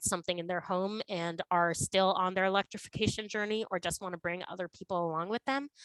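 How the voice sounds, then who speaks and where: Fairly quick and with fairly even intonation, the speech has a dry, close sound with no echo. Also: woman. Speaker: climate nonprofit speaker. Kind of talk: webinar presentation. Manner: fast.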